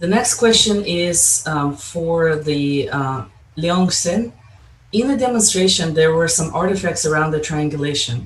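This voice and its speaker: Fairly high in pitch and with lively intonation, a man talks at a moderate pace in a plain, everyday voice. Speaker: session chair moderating Q&A. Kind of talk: conference Q&A moderation.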